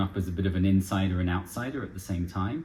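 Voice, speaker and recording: Speaking at a very fast pace, a man has a fairly low pitch. His voice is somewhat breathy. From France (Paris), English-American expat. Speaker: charity director. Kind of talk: casual interview.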